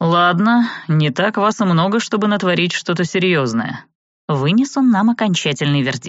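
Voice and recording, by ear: Reading aloud in a natural voice with lively intonation, the speaker is heard against a quiet background.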